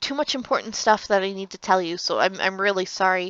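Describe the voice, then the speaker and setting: A woman with medium pitch talks with ordinary pitch variation. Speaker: gaming YouTuber. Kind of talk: casual vlog update. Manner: halting, many fillers.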